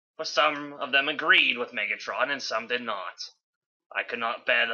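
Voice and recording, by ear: Against a quiet background, the passage is read aloud in a natural voice.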